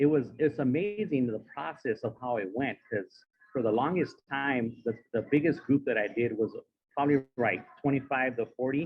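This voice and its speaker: A man speaks with a Spanish accent. His pitch is medium, with ordinary variation. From San Diego, California. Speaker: motivational speaker. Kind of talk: speech. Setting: stage with audience.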